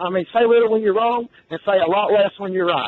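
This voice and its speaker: A loud man talks at a very fast pace with ordinary pitch variation. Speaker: sports radio caller. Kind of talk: heated sports call-in argument. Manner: loud, ranting.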